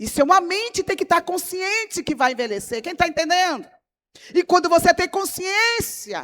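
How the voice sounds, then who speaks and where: In a dry, close recording with no echo, a woman with an extremely high voice speaks at a moderate pace in an animated tone with lively intonation. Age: 60s. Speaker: pastor. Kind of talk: sermon.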